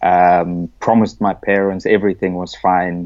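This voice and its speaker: A man with a South African accent, very deep and low in pitch, in a monotone, flat delivery. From South Africa (Cape Town). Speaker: rugby coach. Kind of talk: podcast interview.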